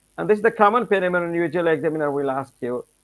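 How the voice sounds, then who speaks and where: Over music in the background, a man speaks in a high voice with ordinary pitch variation, the sound dry and close with no echo. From Bangladesh. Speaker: English language teacher. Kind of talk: lecture. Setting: live stream. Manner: slow.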